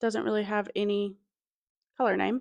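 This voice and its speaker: A woman speaks with a slight Southern US accent. The background is quiet. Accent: Southern US twang picked up, slight. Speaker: knitting video creator. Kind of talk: casual chat. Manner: chatty, lots of fillers.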